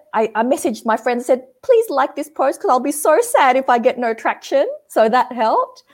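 A woman's high-pitched, animated voice with an Australian accent, at a moderate pace. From Australia, Sydney; Indonesian family. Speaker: change management consultant. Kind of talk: casual interview.

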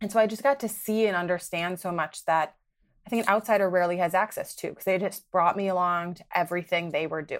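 With an American accent and a plain, everyday voice, a woman talks at a fairly quick pace with ordinary pitch variation, recorded very cleanly against a silent background. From US Midwest, Milwaukee, Wisconsin. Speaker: development finance policy specialist. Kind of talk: interview.

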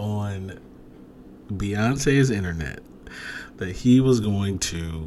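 Noticeable background noise accompanies a man with a fairly low pitch and an American accent. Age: 30s. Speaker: podcast host. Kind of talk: casual solo podcast monologue. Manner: monotone when not excited; filler-heavy, halting.

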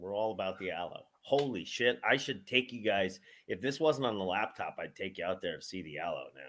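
An unremarkable speaking voice, a man's, runs fairly low in pitch at a fairly quick pace, with lively intonation and big swings in loudness. The recording is very clean, with a silent background. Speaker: podcast host, professional wrestler. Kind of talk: casual chat.

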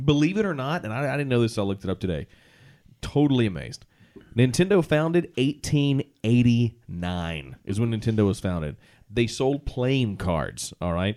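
Dark and mellow in tone, a man's medium-pitched voice moves at a moderate pace through very wide pitch swings on a very clean recording with a silent background. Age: 30s. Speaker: podcast host. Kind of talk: casual chat.

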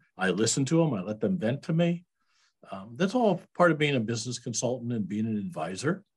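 Here a man speaks at a fairly quick pace in a somewhat breathy voice. His pitch sits at a medium level yet makes very wide swings. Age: 70s. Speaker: business owner, accountant and Vietnam veteran. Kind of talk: interview.

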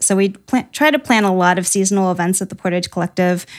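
A woman with a Midwestern US accent talks at a fairly quick pace with ordinary pitch variation. The recording is very clean, with a silent background. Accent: US Midwest. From Ohio. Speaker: small business owner. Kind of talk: interview.

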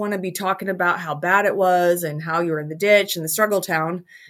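A woman with an American accent and an ordinary speaking voice talks fairly quickly, at a medium pitch with fairly even intonation. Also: hardly any pauses. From Utah, US. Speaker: business coach and speaker. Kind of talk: interview.

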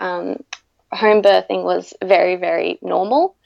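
A woman speaks with an Australian accent. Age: 20s. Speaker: mother sharing birth stories. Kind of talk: interview, personal storytelling. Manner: hesitant, frequent 'um' fillers.

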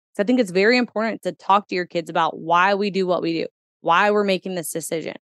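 In an American accent, a woman speaks at a very fast pace with ordinary pitch variation. The recording is dry and close, without any echo. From US Midwest, Kentuckiana area. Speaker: entrepreneur and mother. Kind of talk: casual interview chat.

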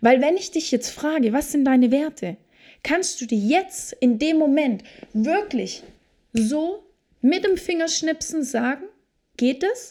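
A woman with a high pitch and a dark, mellow tone speaks at a very slow pace. Her pitch swings very widely, and long, frequent pauses break up her speech. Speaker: podcast host and Human Design coach. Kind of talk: solo motivational monologue. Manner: animated.

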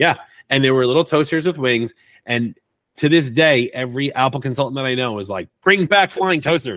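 A man with an unremarkable speaking voice, a fairly quick pace and ordinary pitch variation. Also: medium pitch for a man. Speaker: IT consultant and Apple expert. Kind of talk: casual interview chat. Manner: playful, joking.

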